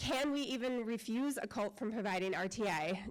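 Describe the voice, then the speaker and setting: A woman talks with a Midwestern American accent. Her pitch variation is ordinary. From northwest Ohio. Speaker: parent giving public comment. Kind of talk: public comment speech. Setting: school board meeting room. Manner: fast.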